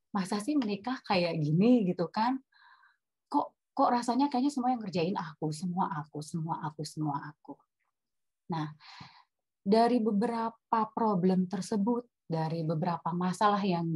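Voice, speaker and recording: Somewhat breathy and medium-pitched, a woman talks at a moderate pace with lively intonation, the sound dry and close with no echo. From Batak, North Sumatra, Indonesia. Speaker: webinar speaker on marriage. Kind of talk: personal testimony in a webinar talk. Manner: animated, mixes English into Indonesian.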